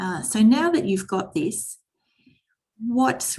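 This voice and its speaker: A somewhat breathy voice at a moderate pace. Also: woman. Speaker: teacher trainer. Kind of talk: online workshop presentation.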